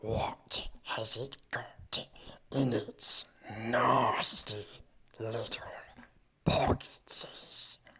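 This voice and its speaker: In a growling, put-on character voice at a low-to-middle pitch, the speaker goes at a very slow pace with long, frequent pauses. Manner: sinister, sneering.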